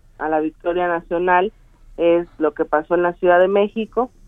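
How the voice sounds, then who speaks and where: A woman speaks at a fairly low pitch. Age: 30s. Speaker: party official, politician. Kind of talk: interview.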